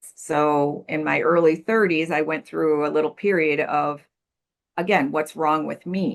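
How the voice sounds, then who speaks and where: With a Midwestern American accent, a woman speaks at a fairly slow pace in a very deep, low pitch. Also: ordinary pitch variation. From US Midwest. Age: 60s. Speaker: life coach and recovery mentor. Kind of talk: podcast interview.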